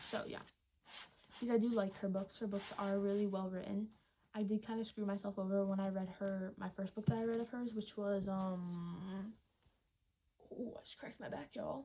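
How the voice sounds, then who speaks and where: A soft-spoken woman at medium pitch, moderate pace, fairly even intonation, and long, frequent pauses. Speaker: booktuber. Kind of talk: casual chat.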